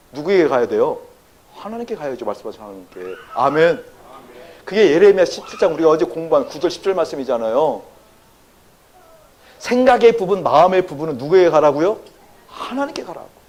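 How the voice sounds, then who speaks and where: A high-pitched man at a very fast pace, with very wide pitch swings, big swings in loudness, long, frequent pauses and noticeable background noise. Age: 60s. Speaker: pastor. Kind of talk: sermon. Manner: animated, engaging audience with questions.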